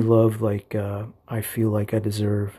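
On a very clean recording with a silent background, a man speaks in a warm, dark, mellow tone that is somewhat breathy. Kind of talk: fervent, heartfelt prayer spoken aloud, with scripture reading. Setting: home, early morning, solo recording. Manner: warm, earnest, fervent, pleading; casual, affectionate, slightly halting.

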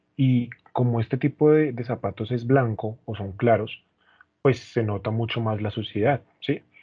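A man at a medium pitch and moderate pace, with fairly even intonation and an ordinary speaking voice. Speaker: podcast co-host. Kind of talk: casual chat.

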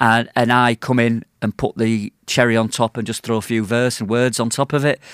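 A man at medium pitch with a Yorkshire accent, moderate pace, hardly any pauses and monotone, flat intonation, dry and close with no echo on a very clean recording with a silent background. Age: 50s. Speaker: poet. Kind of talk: casual chat.

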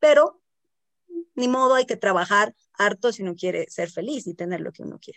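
A woman at a medium pitch speaks at a fairly quick pace with lively intonation, yet with long, frequent pauses. The sound is dry and close, with no echo. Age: 40s. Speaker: health coach and podcast co-host. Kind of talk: casual chat.

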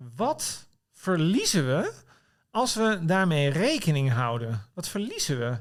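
Very wide pitch swings run through this man's voice. He talks in a high pitch at a very slow pace. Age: 50s. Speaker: political commentator and writer. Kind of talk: casual chat. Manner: halting.

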